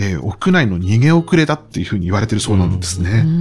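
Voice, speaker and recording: Lively male intonation amid noticeable background noise. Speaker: book editor. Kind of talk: interview conversation. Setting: recording at publisher's office. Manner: fast.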